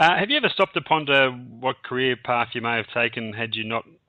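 A man talks with an Australian accent at a fairly quick pace. The background is quiet. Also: dry sound with no echo. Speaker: radio host. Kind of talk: interview. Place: studio.

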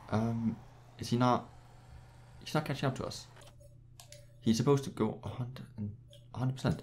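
Somewhat breathy, a man talks at a fairly quick pace broken by long, frequent pauses. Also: medium pitch for a man. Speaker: gaming video creator. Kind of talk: gameplay commentary. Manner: animated.

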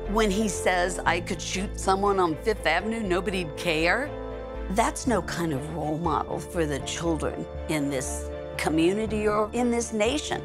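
A woman talks at moderate speed while clear music sounds in the background. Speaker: retired school board president. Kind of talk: political ad testimonial. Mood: concerned, earnest. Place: home room.

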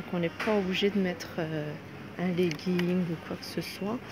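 A woman talks at a fairly slow pace over noticeable background noise. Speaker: shopping vlogger. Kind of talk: casual vlog chat. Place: shop. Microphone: phone near.

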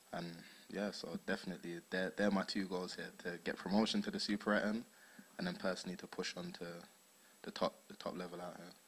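Speaking at a very fast pace, a man talks in a South London accent. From South London, England. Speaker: footballer. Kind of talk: post-match interview. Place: hall. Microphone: handheld.

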